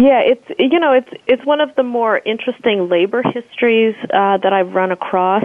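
This woman's voice sits fairly high and moves at a moderate pace. It is an unremarkable speaking voice with lively intonation. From United States (born in South Africa, moved as young child). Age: 40s. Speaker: professor and activist, author. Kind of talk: interview.

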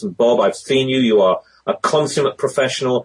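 A man talks with a British accent. He keeps a moderate pace. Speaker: voice talent and conference moderator. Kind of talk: interview about public speaking.

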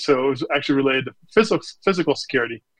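A man with a normal speaking voice and an American accent, with ordinary pitch variation. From Nebraska, US Midwest. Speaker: chief information security officer. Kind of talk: interview.

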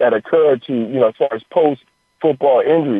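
In a plain, everyday voice, a man speaks at a moderate pace, fairly high in pitch with lively intonation. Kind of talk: phone interview on radio, talking casually as a guest. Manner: relaxed, conversational, explanatory, with filler 'you know' and 'uh'.

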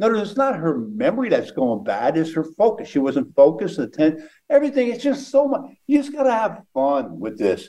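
Delivered at a fairly quick pace, the voice has a dark, mellow tone and very wide pitch swings. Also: man, high pitch for a man. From Pennsylvania. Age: 70s. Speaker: mentalist and memory expert. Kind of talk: interview. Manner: animated.

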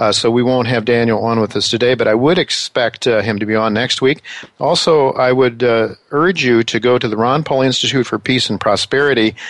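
Using an American accent, a man of medium pitch speaks at a fairly quick pace with ordinary pitch variation. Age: 60s. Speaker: radio host and newsletter writer. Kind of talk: interview on financial radio show. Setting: studio in New York. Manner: halting, many fillers.

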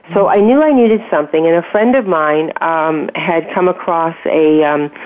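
Noticeable background noise accompanies a woman whose pitch is very deep and low. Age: 60s. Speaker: health and wellness coach. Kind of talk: interview. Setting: radio show.

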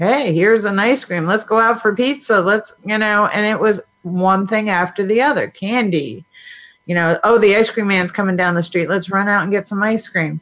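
A woman's medium-pitched voice, an ordinary speaking voice, with ordinary pitch variation. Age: 50s. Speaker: health coach. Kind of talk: interview.

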